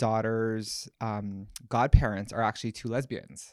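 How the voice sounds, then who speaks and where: In a very clean recording with a silent background, a man with a Hawaiian accent speaks at a fairly slow pace. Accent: Hawaiian-inflected American English. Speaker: interview guest. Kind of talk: casual interview.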